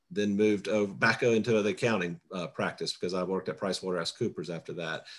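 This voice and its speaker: A man's fairly low voice at a fairly quick pace. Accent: Southern US. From South Carolina, US South. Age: 50s. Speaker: political candidate. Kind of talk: candidate self-introduction. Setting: video call. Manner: talkative, long-winded.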